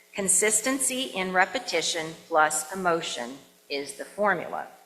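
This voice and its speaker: Her pitch medium and her intonation lively, a woman talks over noticeable background noise. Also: moderate pace. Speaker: minister. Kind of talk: sermon to a congregation. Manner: warm, joyful, enthusiastic.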